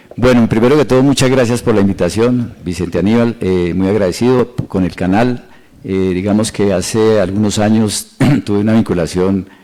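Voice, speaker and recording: This man talks at a moderate pace in a fairly low voice with ordinary pitch variation. Noticeable background noise runs behind him. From Colombia, Boyacá and Tolima. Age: 60s. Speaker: mayoral candidate. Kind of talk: interview. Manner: halting, many fillers.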